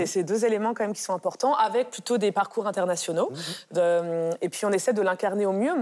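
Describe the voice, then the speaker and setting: Lively intonation at a fairly quick pace. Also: woman. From France. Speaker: art curator. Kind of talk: interview.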